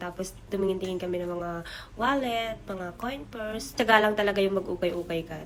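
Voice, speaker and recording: Words come out at a very fast pace. Background noise is noticeable throughout. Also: woman. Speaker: overseas worker vlogger. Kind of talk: vlog narration. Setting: thrift store. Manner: animated.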